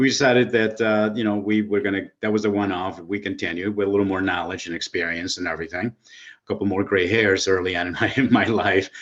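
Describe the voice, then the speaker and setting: A man with a fairly low pitch speaks in an American accent at a very fast pace with hardly any pauses. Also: fairly even intonation. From Illinois. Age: 60s. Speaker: real estate investor. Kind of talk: interview.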